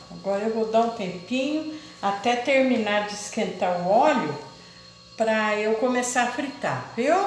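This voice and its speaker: Light background noise and audible room echo surround a woman talking at a fairly slow pace. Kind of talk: cooking tutorial chat. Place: kitchen. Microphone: camera far.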